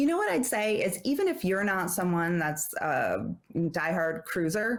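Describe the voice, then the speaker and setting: A woman with a slight New Jersey accent speaks at a medium pitch with lively intonation. Her pace is fairly slow and her loudness very even. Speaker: travel advisor. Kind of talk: casual interview chat.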